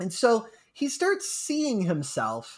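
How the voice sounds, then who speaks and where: In a very clean recording with a silent background, a man's voice makes very wide pitch swings. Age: 30s. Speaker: video game history podcast co-host. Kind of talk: casual chat.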